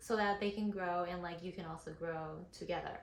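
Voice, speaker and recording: In a room with audible echo, a woman speaks with a non-native accent. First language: not English. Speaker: model and content creator. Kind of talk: tutorial. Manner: casual, many fillers.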